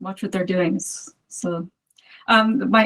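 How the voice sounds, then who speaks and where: A woman with a normal speaking voice talks at a moderate pace, her medium pitch showing ordinary pitch variation. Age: 50s. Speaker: movement practitioner, community member. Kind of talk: casual interview.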